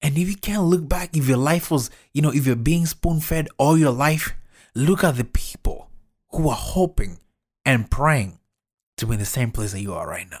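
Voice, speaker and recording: A man speaks at a moderate pace with a fairly high pitch, a somewhat breathy sound, an animated tone and lively intonation. The recording is very clean with a silent background. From developing country abroad. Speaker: motivational podcaster. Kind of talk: motivational monologue.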